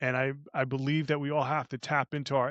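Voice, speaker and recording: An animated man in an American accent, with dry, close sound, no echo and a quiet background. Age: 60s. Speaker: life coach and entrepreneur. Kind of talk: casual interview chat. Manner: animated, with frequent repetitions and fillers.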